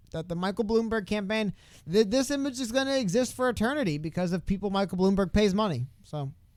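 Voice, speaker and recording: Speaking very fast, a man uses lively intonation at a high pitch. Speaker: political podcast co-host. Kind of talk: live stream casual chat.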